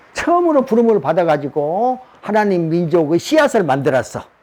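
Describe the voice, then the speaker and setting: A man with a high voice talks fairly slowly, his pitch swinging very widely. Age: 80s+. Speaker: religious teacher, self-published author. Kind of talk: lecture. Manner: casual, repetitive emphasis.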